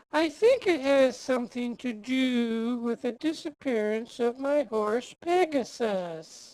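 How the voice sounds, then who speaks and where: A female-sounding voice puts on a high-pitched character voice at a fairly slow pace. There are hardly any pauses. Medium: audio drama. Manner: grand, theatrical.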